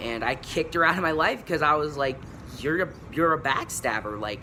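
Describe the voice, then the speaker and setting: Noticeable noise sits in the background. Over it, a man's intonation is lively. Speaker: YouTuber, vlogger. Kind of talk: casual vlog monologue. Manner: halting, many fillers.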